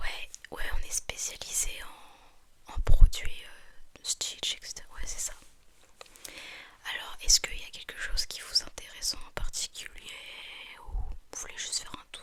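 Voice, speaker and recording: Whispered speech comes at a fairly slow pace with long, frequent pauses. Noticeable background noise runs underneath. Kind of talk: ASMR roleplay as a shop assistant, whispered customer service. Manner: whispered, soft.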